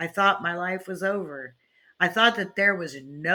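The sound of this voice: With a quiet background, the recording carries an unforced reading voice.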